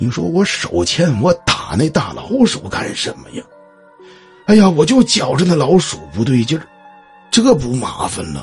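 A man's put-on character voice, fairly high in pitch at a moderate pace, with faint music in the background. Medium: read story. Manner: gruff, exclamatory, rattled.

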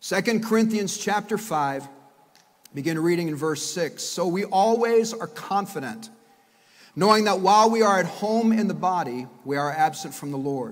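The background is quiet behind this man. He talks at a moderate pace with lively intonation. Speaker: pastor. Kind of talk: sermon. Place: church. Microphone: podium.

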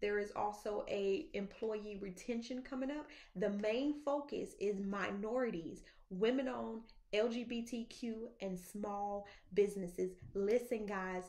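A woman talks at a fairly slow pace, her pitch varying in an ordinary way, with a quiet background. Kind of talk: casual vlog chat. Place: office. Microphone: phone near.

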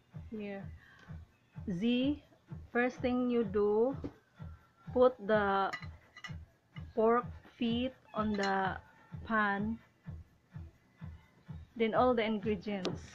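Over light background noise, a woman speaks very slowly with fairly even intonation and long, frequent pauses. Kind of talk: tutorial. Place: kitchen. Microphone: phone near.

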